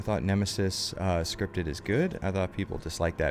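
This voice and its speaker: A man with a very deep, low pitch and ordinary pitch variation talks at a fairly quick pace against noticeable background noise. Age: 20s. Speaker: video game streamer. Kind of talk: casual live-stream commentary. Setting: live stream.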